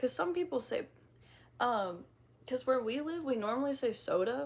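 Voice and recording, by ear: A woman speaks with a high pitch and a slight Midwestern accent. Her intonation is lively. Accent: slight Midwestern twang.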